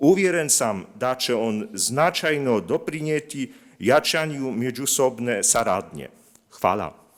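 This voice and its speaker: On a very clean recording with a silent background, a man with a Polish accent talks very slowly at a medium pitch with lively intonation. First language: Polish (speaking Croatian). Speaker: linguist, institute representative. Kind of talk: conference presentation. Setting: conference with audience. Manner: reading prepared text; halting, with many fillers.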